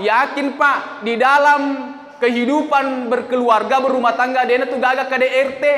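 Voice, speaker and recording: A man projects his raised voice at a moderate pace through audible room echo and noticeable background noise. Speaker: Islamic preacher. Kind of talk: sermon. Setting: mosque. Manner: loud.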